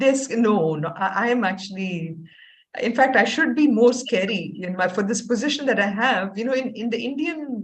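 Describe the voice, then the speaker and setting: A woman's fairly high, somewhat breathy voice with lively intonation, a moderate pace and audible room echo. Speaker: Bhagavad Gita teacher and university dean. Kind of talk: casual chat.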